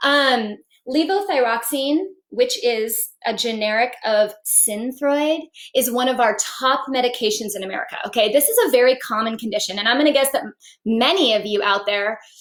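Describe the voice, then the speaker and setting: A woman with a high pitch, an animated tone and ordinary pitch variation. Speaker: naturopathic physician. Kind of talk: live-stream health talk. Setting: live stream on social media. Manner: fast.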